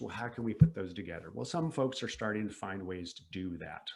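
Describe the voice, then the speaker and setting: The voice belongs to a man. He sounds lively in his intonation. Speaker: professor. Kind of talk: lecture. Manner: fast; animated.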